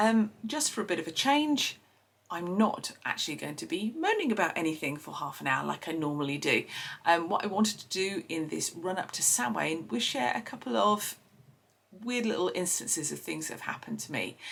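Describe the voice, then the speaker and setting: A woman with an Essex accent speaks over noticeable background noise. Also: fairly quick pace. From Essex, England. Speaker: podcast host. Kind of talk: personal storytelling. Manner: hesitant, many fillers.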